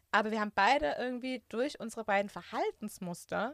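A woman talks at a very fast pace with a fairly high pitch and ordinary pitch variation. The sound is dry and close, with no echo. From Germany, Künzelsau area (Hohenlohe, Baden-Württemberg). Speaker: IT consultant. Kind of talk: casual personal interview.

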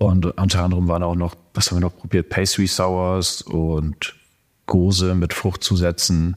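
Over a silent background in a very clean recording, a man speaks at a fairly slow pace in a monotone, flat delivery with a very deep, low pitch. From northern Germany, Lower Saxony (Cloppenburg). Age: 30s. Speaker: homebrewer and chemical engineer. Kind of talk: casual interview.

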